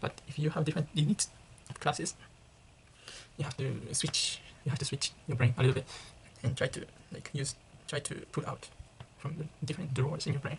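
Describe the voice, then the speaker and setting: With a Japanese accent, the speaker goes at a fairly quick pace but leaves long, frequent pauses. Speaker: international student vlogger. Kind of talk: casual vlog monologue. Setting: residence room near common room. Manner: halting, self-correcting.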